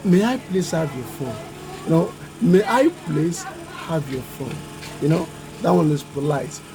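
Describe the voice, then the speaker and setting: A man with a Nigerian accent speaks at a fairly slow pace, with long, frequent pauses and noticeable background noise. His pitch is fairly high and his intonation lively. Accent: Nigerian (Yoruba) English. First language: Yoruba. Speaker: YouTuber. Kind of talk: educational vlog talk.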